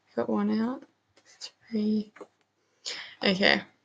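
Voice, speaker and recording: A woman speaks quietly. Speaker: gaming youtuber. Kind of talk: casual gameplay commentary. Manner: quiet, hushed; casual with many fillers.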